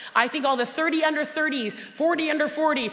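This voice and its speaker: A woman speaks loudly in a high pitch. Her tone is animated, with audible room echo. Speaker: motivational speaker and cookbook author. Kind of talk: motivational conference talk. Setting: stage with audience.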